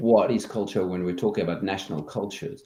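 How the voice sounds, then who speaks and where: The man's voice carries a dark, mellow tone. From France. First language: French. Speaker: culture consultant. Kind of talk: interview.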